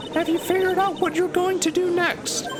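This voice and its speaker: Loud background noise behind a man's put-on character voice, squeaky and extremely high-pitched, at a fairly quick pace. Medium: game stream. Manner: calm, cryptic.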